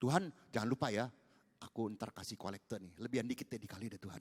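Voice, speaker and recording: The delivery is very fast, with an animated tone. The sound is dry and close with no echo. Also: man. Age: 70s. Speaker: pastor. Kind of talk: sermon.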